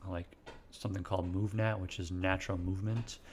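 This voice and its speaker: A man speaks very fast with an American accent, his voice somewhat breathy. His pitch is very deep and low, and his intonation stays monotone and flat. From US Midwest, central Illinois. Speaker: chiropractor. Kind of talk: interview. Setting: at guest's home.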